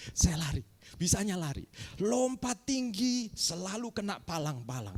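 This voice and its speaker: The tone is animated. The intonation is lively. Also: man. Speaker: pastor. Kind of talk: sermon. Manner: animated, addresses congregation.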